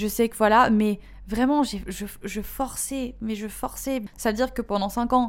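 A woman with a normal speaking voice, a fairly high pitch and fairly even intonation. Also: fairly slow pace. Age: 20s. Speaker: podcast host. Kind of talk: casual monologue.

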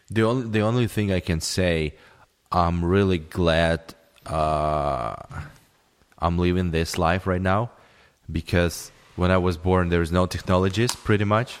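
A man with a Russian accent and a very deep, low pitch, at a fairly slow pace with ordinary pitch variation, very even loudness and long, frequent pauses. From former Soviet Union. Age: 30s. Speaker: podcaster's roommate. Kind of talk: casual chat. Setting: home recording. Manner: halting.

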